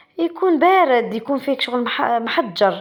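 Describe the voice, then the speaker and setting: A woman with an Algerian accent speaks in a high voice at a fairly slow pace. Her intonation is lively. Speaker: pastry cook, cooking channel host. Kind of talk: cooking tutorial. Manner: casual, halting with self-corrections.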